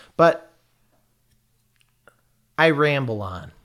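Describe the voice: With an American accent, a man at a medium pitch speaks at a very slow pace, using a fairly bright tone and lively intonation.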